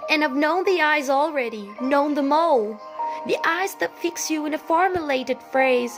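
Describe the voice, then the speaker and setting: A woman's calm tone with ordinary pitch variation, and music in the background. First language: non-native English speaker. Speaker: poetry reciter. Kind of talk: poetry reading. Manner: calm, meditative.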